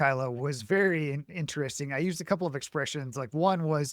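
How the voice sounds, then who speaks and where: An American man with an ordinary speaking voice talks at a moderate pace with ordinary pitch variation in a very clean recording with a silent background. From Montana. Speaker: podcast host. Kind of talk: interview.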